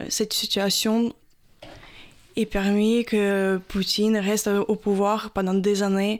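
In a very clean recording with a silent background, a woman with a Ukrainian accent speaks at a very slow pace. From Ukraine, Odessa. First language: Ukrainian (speaking French). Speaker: Ukrainian expatriate. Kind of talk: radio interview.

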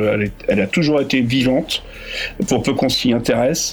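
A man's voice with ordinary pitch variation, amid noticeable background noise. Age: 40s. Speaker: festival organizer. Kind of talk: radio interview.

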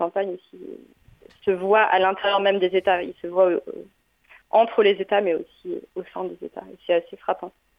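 The intonation is monotone and flat, with long, frequent pauses. Loudness swings widely. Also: woman. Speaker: radio host reporting from abroad. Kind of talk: live interview. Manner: halting, repeats words. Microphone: muffled voice on the line.

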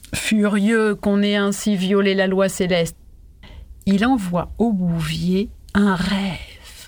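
This woman's somewhat breathy voice sits at a medium pitch and stays monotone, with flat intonation throughout. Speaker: storyteller. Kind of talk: fairy-tale narration. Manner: calm, narrative, expressive.

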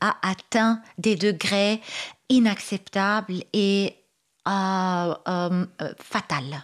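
This woman's voice comes through on a very clean recording with a silent background. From Lebanon. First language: Arabic (speaking French). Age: 40s. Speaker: writer and activist. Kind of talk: radio interview. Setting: radio studio.

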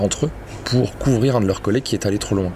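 Against noticeable background noise, a man speaks at a fairly low pitch with ordinary pitch variation. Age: young. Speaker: investigative journalist and author. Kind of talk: interview.

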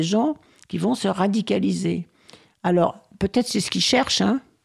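The recording is very clean, and the background is silent. The voice belongs to a woman. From rural France. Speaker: housing rights activist. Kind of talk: radio interview.

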